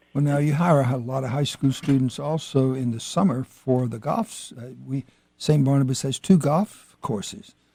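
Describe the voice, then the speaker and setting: A man's somewhat breathy voice, fairly high in pitch, with a dark, mellow tone and an American accent. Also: ordinary pitch variation, moderate pace. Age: 80s+. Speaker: radio host. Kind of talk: radio interview. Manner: halting.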